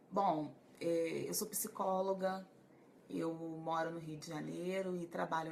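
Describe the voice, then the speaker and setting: In a room with audible echo, a woman speaks at a fairly slow pace and a fairly low pitch. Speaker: psychologist. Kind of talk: live stream talk to viewers. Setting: Facebook live stream.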